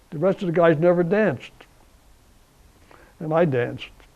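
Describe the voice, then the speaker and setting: A man speaks in a high voice with an American accent. His pace is moderate and his pitch variation ordinary. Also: long, frequent pauses. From US Northeast (New Jersey, Essex County). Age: 80s+. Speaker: war veteran. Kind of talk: interview. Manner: halting.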